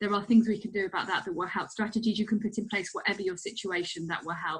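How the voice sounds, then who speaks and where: A woman speaks at a fairly high pitch in a somewhat breathy voice with ordinary pitch variation. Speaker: clinical psychologist. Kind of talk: recorded webinar presentation. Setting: recorded online presentation with slides. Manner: fast; hesitant, many fillers.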